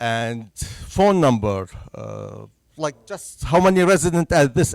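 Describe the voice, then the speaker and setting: A man speaks with a Syrian accent and a lively intonation. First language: Arabic. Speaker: census bureau presenter. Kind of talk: public presentation. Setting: senior center talk with audience.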